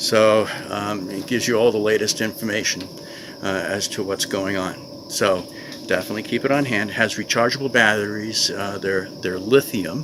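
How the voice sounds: A man speaks at a moderate pace in a fairly low voice with ordinary pitch variation, and clear background noise can be heard.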